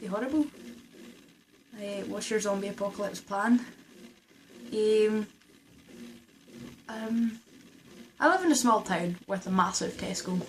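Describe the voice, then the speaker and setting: A woman with a Scottish accent speaks at a moderate pace with ordinary pitch variation. Noticeable background noise is present. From Scotland. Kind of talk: casual talk to camera.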